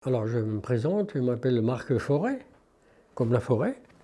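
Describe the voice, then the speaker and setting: A man at a medium pitch, dark and mellow in tone, with lively intonation at a moderate pace against a quiet background. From northeastern France, Haute-Marne. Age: 70s. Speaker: retired shoemaker. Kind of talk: interview testimony, personal reminiscence.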